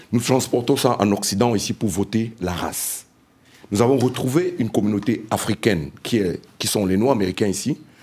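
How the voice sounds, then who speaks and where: A man talks at a moderate pace with a fairly low pitch and ordinary pitch variation. It is an unremarkable speaking voice. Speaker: panelist, diaspora member. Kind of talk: panel debate. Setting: round table with live audience.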